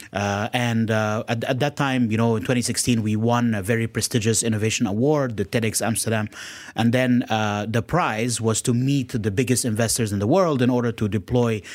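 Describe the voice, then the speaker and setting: A man's plain, everyday voice at a medium pitch, fairly quick and fairly even in intonation, on a very clean recording with a silent background. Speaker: startup co-founder. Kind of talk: radio interview. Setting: studio.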